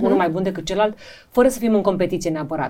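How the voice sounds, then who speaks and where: The intonation is lively, with noticeable background noise behind the voice. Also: woman. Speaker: journalist and TV presenter. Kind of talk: casual interview.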